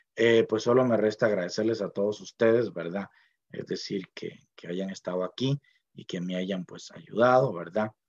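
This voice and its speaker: A man speaks with a Costa Rican accent. His voice is fairly low, and his pace is fairly slow. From Costa Rica, Puntarenas (Miramar). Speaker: university linguist, dictionary author. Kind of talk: speech at book launch. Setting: online event from home library. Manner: hesitant, many fillers.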